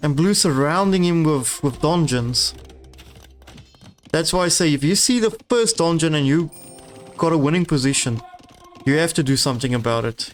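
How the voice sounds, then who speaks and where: Over music in the background, a man with a non-native accent and a fairly high pitch talks at a moderate pace with very even loudness and long, frequent pauses. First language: not English. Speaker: game caster. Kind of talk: live commentary. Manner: halting.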